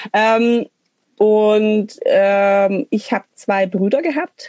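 A woman's fairly high voice, very slow, with a dark, mellow tone, ordinary pitch variation, and a dry, close sound with no echo. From Swabian Alb, Germany (Münsingen). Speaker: punk musician and social worker. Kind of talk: casual interview chat.

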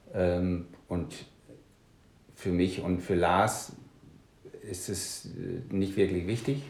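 The speech moves at a very slow pace with long, frequent pauses and fairly even intonation. Audible room echo is present. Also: man, very deep, low pitch for a man. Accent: slight Danish. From Denmark. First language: Danish (speaking German). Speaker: punk musician and author. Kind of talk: casual interview.

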